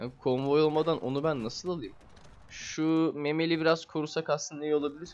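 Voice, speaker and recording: A man speaks at a fairly quick pace in a fairly high pitch, his intonation monotone and flat. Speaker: gaming video creator. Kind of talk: gameplay commentary. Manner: casual, hesitant with filler sounds.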